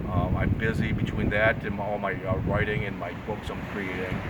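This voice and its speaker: A man with an American accent speaks at a fairly quick pace. Noticeable background noise and audible room echo fill the recording. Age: 60s. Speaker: artist and graphic designer. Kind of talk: casual interview. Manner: halting, many fillers.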